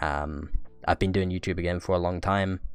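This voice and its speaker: Music plays in the background as a man with a very deep, low pitch talks at a fairly quick pace with fairly even intonation. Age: 20s. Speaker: podcast co-host and YouTuber. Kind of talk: casual chat.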